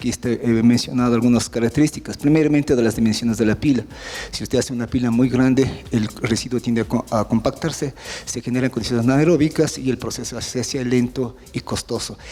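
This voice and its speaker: Someone speaks very fast with fairly even intonation over noticeable background noise. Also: man, medium pitch for a man. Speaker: university professor and remediation expert. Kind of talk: technical seminar lecture. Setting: seminar presentation with audience.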